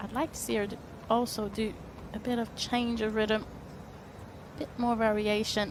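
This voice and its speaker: A woman's fairly high voice, flat and monotone, with long, frequent pauses and noticeable background noise. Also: moderate pace. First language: French. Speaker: tennis commentator. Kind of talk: live commentary.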